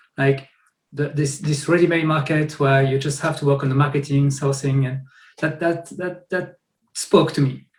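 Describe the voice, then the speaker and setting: A somewhat breathy man's voice, fairly high in pitch with fairly even intonation, in a room with audible echo. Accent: French. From France. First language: French. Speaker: software founder; guest. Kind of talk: interview. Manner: halting, many repetitions. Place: home room. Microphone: webcam.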